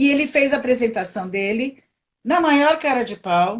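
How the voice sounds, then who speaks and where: A woman's normal speaking voice, fairly high in pitch, with lively intonation. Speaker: coach. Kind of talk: live stream discussion. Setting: live video stream.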